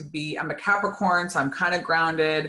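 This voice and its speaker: The voice has a bright, sharp tone, a moderate pace and ordinary pitch variation. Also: woman. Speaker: energy healing teacher. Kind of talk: live online talk. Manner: chatty, with many fillers and restarts.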